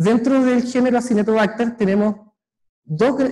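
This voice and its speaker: His pitch varies in an ordinary way as the man talks in a dark, mellow tone. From Chile. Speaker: microbiology researcher. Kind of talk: lecture. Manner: halting, many fillers and repeats.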